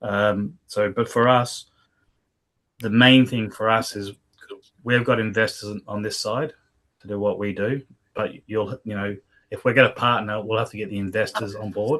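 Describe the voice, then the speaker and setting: At a moderate pace and with long, frequent pauses, a man speaks in a fairly low pitch with fairly even intonation. He has a strong Australian accent. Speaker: business partner. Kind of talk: business video meeting.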